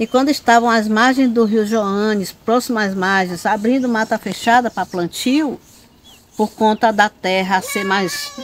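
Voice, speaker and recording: A woman's fairly high voice at a fairly slow pace, amid noticeable background noise. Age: 60s. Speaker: quilombo community leader and terreiro caretaker. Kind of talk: oral history interview. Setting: on location at a terreiro in the quilombo. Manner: hesitant, many fillers and repetitions.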